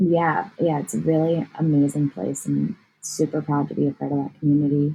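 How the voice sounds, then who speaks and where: Somewhat breathy and very deep in pitch, a woman talks at a moderate pace with ordinary pitch variation. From New Jersey, US. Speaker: artist and yoga teacher. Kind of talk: casual interview chat.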